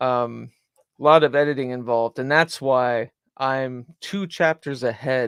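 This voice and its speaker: In an American accent, a man talks at a fairly slow pace with fairly even intonation. The sound is dry and close, with no echo. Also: medium pitch for a man. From US South. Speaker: broadcaster and podcaster. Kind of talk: casual commentary on a replayed podcast. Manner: frequent fillers and disfluencies.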